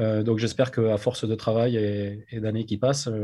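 The voice is somewhat breathy with a dark, mellow tone and monotone, flat intonation. The background is quiet. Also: man. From France, Agen. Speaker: rugby club president. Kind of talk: interview.

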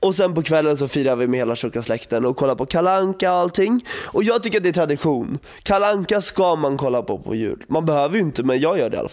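Very fast and with lively intonation, a man talks at a fairly high pitch. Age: 20s. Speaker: podcast co-host. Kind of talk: casual chat.

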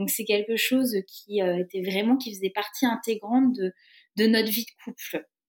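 A woman with a fairly high pitch talks at a moderate pace with fairly even intonation and big swings in loudness, in a dry, close sound with no echo. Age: 30s. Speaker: single mother and traveller. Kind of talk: casual interview. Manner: hesitant, with many fillers.

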